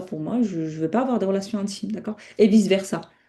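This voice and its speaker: A woman talks at a very fast pace with ordinary pitch variation. Her voice is somewhat breathy, with a dark, mellow tone. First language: not French (speaking French). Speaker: Islamic teacher. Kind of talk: online lecture. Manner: halting, many self-corrections.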